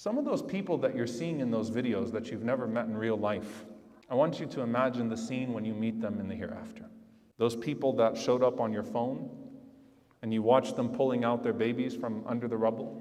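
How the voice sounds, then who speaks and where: An ordinary speaking voice from a man, medium in pitch, at a fairly quick pace. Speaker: Islamic preacher delivering a sermon. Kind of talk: Friday sermon, impassioned public address. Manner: earnest, emotional, urgent.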